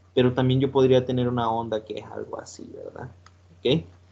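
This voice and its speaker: A man with a medium pitch talks in a somewhat breathy voice. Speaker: teacher. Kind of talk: lecture. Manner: halting, many fillers.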